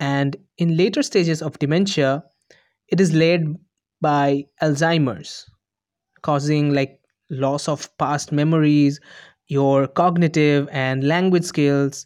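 Against a quiet background, a man with a fairly high pitch speaks at a very slow pace with long, frequent pauses, the sound dry and close with no echo. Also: fairly even intonation. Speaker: podcaster. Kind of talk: scripted monologue. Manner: rehearsed.

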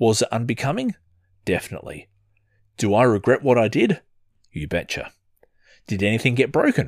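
Lively intonation carries the speech at a moderate pace in a very clean recording with a silent background. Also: man. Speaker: podcast host, father. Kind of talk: personal storytelling monologue.

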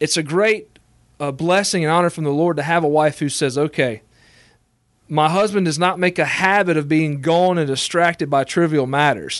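In a plain, everyday voice, a man speaks at a moderate pace with a fairly high pitch and ordinary pitch variation against a quiet background. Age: 20s. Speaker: assistant pastor. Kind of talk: interview.

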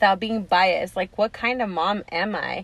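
An ordinary speaking voice moves at a moderate pace, its pitch varying in an ordinary way. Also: woman. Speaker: podcast co-host. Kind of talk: casual chat.

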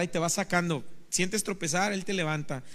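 With fairly even intonation, a man talks at a moderate pace in a high pitch. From Mexico, Veracruz. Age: 30s. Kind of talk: testimony. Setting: studio.

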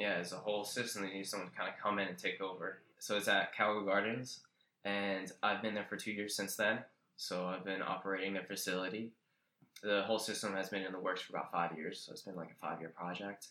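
A man's very fast, monotone delivery, fairly low in pitch, with a bright, sharp tone and flat intonation. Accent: American. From Central New Jersey, US. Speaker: aquaponics farmer. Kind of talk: casual interview.

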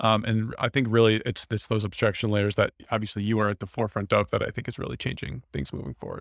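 A man with an American accent and a fairly low pitch talks at a very fast pace with hardly any pauses and fairly even intonation, in a dry, close sound with no echo on a very clean recording with a silent background. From Wisconsin, US Midwest. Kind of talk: casual interview.

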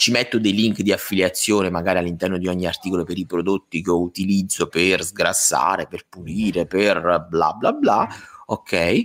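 Fairly even intonation and a moderate pace from a man with a very deep, low pitch. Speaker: podcast co-host. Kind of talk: casual chat. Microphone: new mic settings, audio being tested.

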